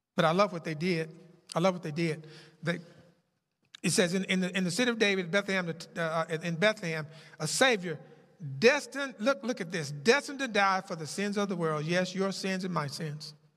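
With a bright, sharp tone, a man speaks at a high pitch with ordinary pitch variation. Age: 70s. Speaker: pastor. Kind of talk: sermon. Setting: church. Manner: halting.

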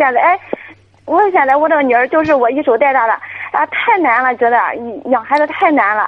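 A woman's high voice at a fairly quick pace, lively in intonation and very even in loudness, with noticeable background noise. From rural China. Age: 20s. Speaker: caller, young mother. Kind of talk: call-in radio advice. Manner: halting.

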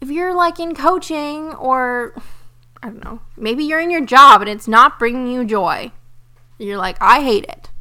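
A woman uses a raised, projected voice with a high pitch and a bright, sharp tone, talking at a fairly slow pace with lively intonation and big swings in loudness. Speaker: podcast host and spiritual business coach. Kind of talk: casual monologue. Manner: animated.

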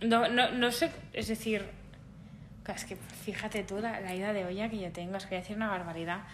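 A woman speaks at a fairly quick pace with long, frequent pauses. There is audible room echo and noticeable background noise. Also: medium pitch for a woman, fairly even intonation. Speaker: podcast host. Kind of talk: casual chat.

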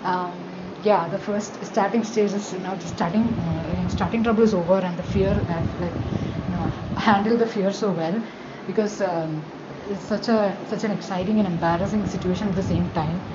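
A woman with an Indian accent speaks at a moderate pace in a medium pitch. Her intonation is fairly even, and there is noticeable background noise. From Kerala, India. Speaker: first-time podcaster. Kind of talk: casual solo monologue, podcast intro. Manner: hesitant, shy, filler-heavy.

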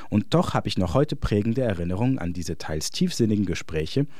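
Very wide pitch swings at a moderate pace. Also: man. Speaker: essayist. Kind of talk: scripted narration.

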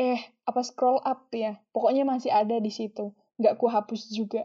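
A woman speaks in a shrill, somewhat breathy voice with flat, monotone intonation. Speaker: solo podcaster. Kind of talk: casual monologue.

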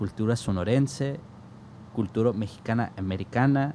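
This man has a medium pitch and a dark, mellow tone. He speaks at a fairly slow pace with ordinary pitch variation. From US Southwest, south Tucson, Arizona, Mexican-American family. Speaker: jazz saxophonist and music educator. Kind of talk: casual interview chat. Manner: animated.

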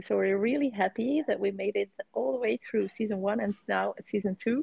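A woman speaks fairly quickly at a medium pitch with lively intonation. Her voice carries vocal fry. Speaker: co-host of a dating stories podcast. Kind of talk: casual interview chat.

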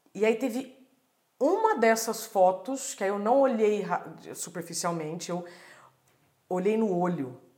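The woman speaks at a fairly slow pace. Long, frequent pauses break her speech, and there is audible room echo. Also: medium pitch for a woman, lively intonation. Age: 40s. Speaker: journalist and speaker. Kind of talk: casual chat.

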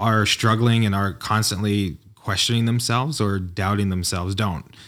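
In a normal speaking voice, a man with an American accent and fairly low pitch speaks at a moderate pace with ordinary pitch variation. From New York. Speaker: entrepreneur and designer. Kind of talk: casual interview chat. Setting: in-person studio.

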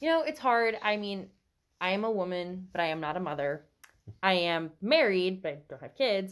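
Against a quiet background, a plain, everyday voice with an American accent moves at a moderate pace, with lively intonation and big swings in loudness. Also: woman, medium pitch for a woman. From US South. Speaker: podcast guest, book reader. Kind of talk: casual book discussion. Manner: laughs often.

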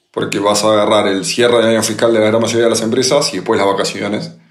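A man's speech carries audible room echo. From Argentina, Buenos Aires. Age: 30s. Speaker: podcast co-host, entrepreneur. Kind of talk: casual chat.

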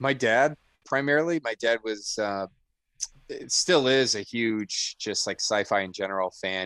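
A man with an unremarkable speaking voice talks at a fairly slow pace with ordinary pitch variation, on a very clean recording with a silent background. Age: 30s. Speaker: army lawyer and trivia competitor. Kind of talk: casual interview.

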